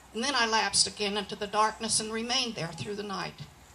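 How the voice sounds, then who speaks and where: Noticeable background noise surrounds a woman whose voice is fairly high in pitch. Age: 80s+. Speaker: cowboy poet. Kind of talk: poetry reading. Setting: live event.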